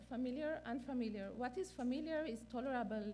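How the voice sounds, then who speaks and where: With a non-native accent and a high pitch, a woman speaks amid audible room echo. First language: not English. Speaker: neonatal clinician and researcher. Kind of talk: conference lecture. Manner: halting, many fillers.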